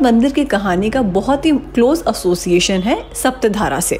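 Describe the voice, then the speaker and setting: A fairly slow pace, with music in the background. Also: woman. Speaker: travel vlogger narrator. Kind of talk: travel vlog narration.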